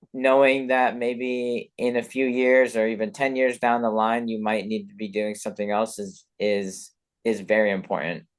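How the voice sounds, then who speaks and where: A man speaks in an unremarkable speaking voice at medium pitch, with fairly even intonation, a moderate pace and a quiet background. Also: hardly any pauses. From Colorado (born in London, moved at eight). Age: 20s. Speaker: professional skier. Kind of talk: podcast interview. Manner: casual, many fillers and repetitions.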